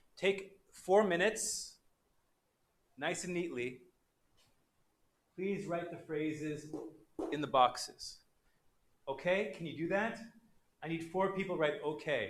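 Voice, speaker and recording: A fairly slow pace with long, frequent pauses and audible room echo. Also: man, high pitch for a man, ordinary pitch variation. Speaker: English teacher. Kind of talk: online class lecture. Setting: livestream. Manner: animated.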